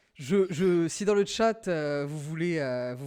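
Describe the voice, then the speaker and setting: Very clean recording of a man against a silent background, his pitch varying in an ordinary way. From rural France. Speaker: podcast host drawing game show. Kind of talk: casual chat. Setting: livestream with chat. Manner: hesitant, many fillers.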